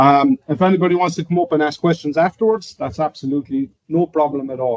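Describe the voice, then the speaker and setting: At a very fast pace, a man with an Irish accent talks in a fairly high pitch with lively intonation, the sound dry and close with no echo. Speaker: software trainer. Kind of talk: presentation. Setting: in-person session with online audience.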